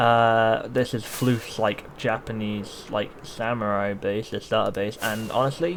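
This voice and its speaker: This is an ordinary speaking voice with fairly even intonation. It moves at a fairly slow pace with hardly any pauses. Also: man, medium pitch for a man. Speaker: gaming YouTuber. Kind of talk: gameplay commentary.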